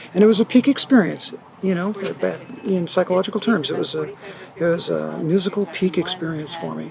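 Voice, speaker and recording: Talking at a fairly quick pace, a man is heard against noticeable background noise. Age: 60s. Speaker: retired teacher and audiophile. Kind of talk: casual interview. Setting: hi-fi show floor. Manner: halting.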